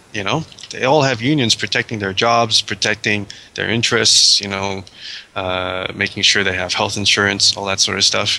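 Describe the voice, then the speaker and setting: Noticeable background noise sits behind a man who speaks at a moderate pace with a fairly low pitch and ordinary pitch variation. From Australia. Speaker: visual effects artist, miniatures company founder. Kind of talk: interview.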